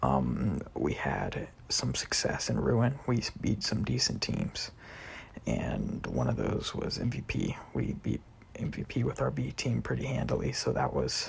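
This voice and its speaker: Noticeable background noise under a man talking fairly slowly. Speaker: gamer. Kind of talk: personal statement vlog. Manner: hesitant, filler words.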